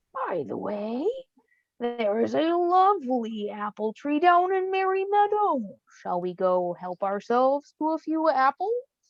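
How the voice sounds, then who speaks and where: A put-on character voice, female-sounding and high-pitched, with very wide pitch swings at a moderate pace. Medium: read story. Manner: false politeness.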